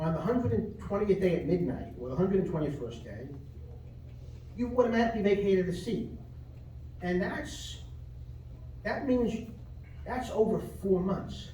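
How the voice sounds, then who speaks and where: With long, frequent pauses, a man talks in a Brooklyn accent at a high pitch and with lively intonation, amid noticeable background noise and audible room echo. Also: moderate pace. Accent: Brooklyn accent, still present. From New York (Brooklyn). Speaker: lawyer speaking at public comment. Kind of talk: public comment at city meeting. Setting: city commission meeting. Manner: argumentative, repetitive.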